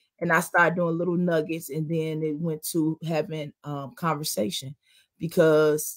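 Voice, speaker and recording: A woman has a plain, everyday voice with a fairly low pitch, at a moderate pace. The recording is very clean, with a silent background. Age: 40s. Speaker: talk show host. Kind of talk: casual chat.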